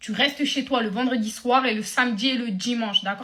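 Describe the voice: Fast, bright, sharp speech from a fairly high-pitched woman, with audible room echo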